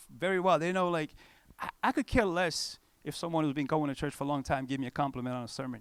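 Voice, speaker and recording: On a very clean recording with a silent background, a man with a non-native accent talks at a fairly quick pace, fairly high in pitch, with lively intonation. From Cape Verde, West Africa. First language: not English. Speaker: pastor. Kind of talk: conference talk. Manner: animated; casual, conversational.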